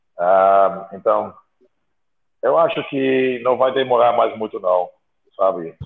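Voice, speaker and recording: Long, frequent pauses break up a man's speech. His pace is very slow. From outside Brazil. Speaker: bodybuilding podcast co-host. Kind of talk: casual chat.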